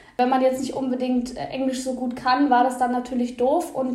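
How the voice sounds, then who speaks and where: A woman speaks in a high, monotone voice at a moderate pace. The room echoes audibly, and there is noticeable background noise. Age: 20s. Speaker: bookseller and book content creator. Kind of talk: podcast interview.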